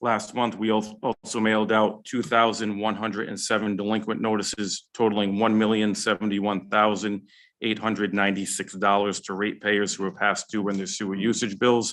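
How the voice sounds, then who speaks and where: A man speaks at a fairly quick pace, fairly low in pitch, with monotone, flat intonation. The background is quiet. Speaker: finance officer reporting to a town sewer commission. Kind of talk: public meeting report. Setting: town council meeting room. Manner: fast.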